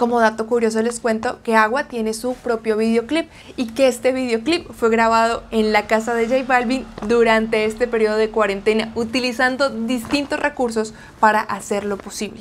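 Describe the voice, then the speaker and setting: Colombian accent at a moderate pace, fairly even intonation, and light background noise. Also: woman, fairly high pitch for a woman. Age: 20s. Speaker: Spanish teacher. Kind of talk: news reading; sales pitch. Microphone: lapel.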